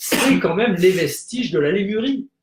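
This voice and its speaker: This man has a high pitch. He speaks at a moderate pace. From French Polynesia (Tahiti). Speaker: spiritual guest on web show. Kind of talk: casual live talk show chat. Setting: live broadcast around a table. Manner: hesitant, many fillers.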